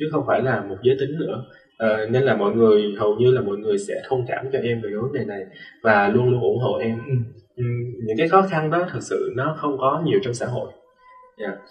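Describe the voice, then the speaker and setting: A man with a medium pitch talks at a fairly quick pace with lively intonation. Audible room echo surrounds him, and music plays in the background. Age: 20s. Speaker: student and dancer. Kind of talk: interview.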